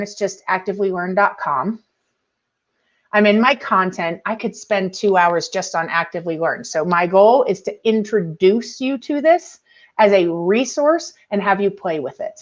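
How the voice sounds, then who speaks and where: A woman with an unremarkable speaking voice, medium pitch and lively intonation, at a moderate pace over a quiet background. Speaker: educational technology presenter. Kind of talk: webinar tutorial.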